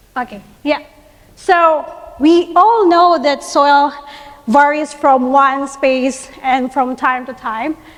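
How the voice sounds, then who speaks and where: A very slow, high-pitched female voice with ordinary pitch variation over noticeable background noise. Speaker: soil science researcher. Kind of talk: conference presentation.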